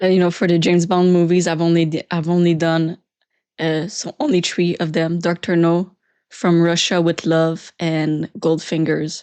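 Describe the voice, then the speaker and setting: Against a quiet background, a woman with a Quebec French accent speaks at a moderate pace. Her tone is dark and mellow, her pitch fairly low, and her intonation monotone and flat. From Quebec, Canada. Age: 20s. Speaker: youtuber. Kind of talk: live stream Q&A. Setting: live stream. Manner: casual, halting.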